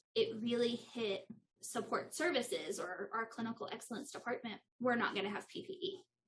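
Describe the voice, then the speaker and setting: A woman's fairly high voice in a West Texas accent, with very wide pitch swings. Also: fairly quick pace. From Texas (Lubbock). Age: 30s. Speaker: nurse. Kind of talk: interview.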